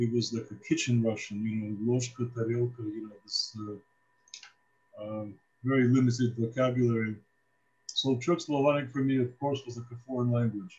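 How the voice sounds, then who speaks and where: A man with a Midwestern accent talks at a moderate pace. His pitch is medium, his intonation fairly even. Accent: American Midwest. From US Midwest, Cleveland, Ohio. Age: 70s. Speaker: priest. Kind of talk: casual talk to students, life story. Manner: hesitant, many fillers.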